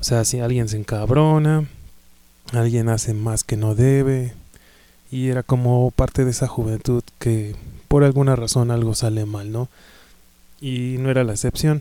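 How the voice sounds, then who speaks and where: Slowish and broken by long, frequent pauses, a man with a Mexican accent speaks at a medium pitch in a dark, mellow tone with fairly even intonation. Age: 30s. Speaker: podcast host, music fan. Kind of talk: casual monologue. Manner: halting, many fillers.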